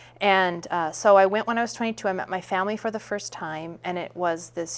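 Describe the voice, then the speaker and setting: In a very clean recording with a silent background, a woman with a Minnesota accent talks at a moderate pace with medium pitch and ordinary pitch variation. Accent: Minnesotan American. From US Midwest, Saint Paul, Minnesota. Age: 30s. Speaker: actress and playwright. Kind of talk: interview.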